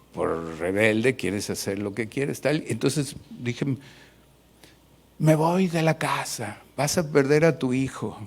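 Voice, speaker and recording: A man at a very slow pace, medium in pitch, with very wide pitch swings. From Mexico City. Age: 60s. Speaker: pastor. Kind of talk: sermon.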